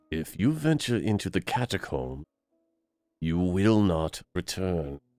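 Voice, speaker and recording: A man speaks at a fairly slow pace in a put-on character voice pitched very deep and low. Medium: game stream. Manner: solemn, ominous.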